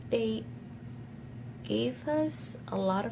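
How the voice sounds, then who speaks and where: Very slowly paced speech comes through noticeable background noise and audible echo from the room. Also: woman. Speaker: university student vlogger. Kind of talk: personal vlog.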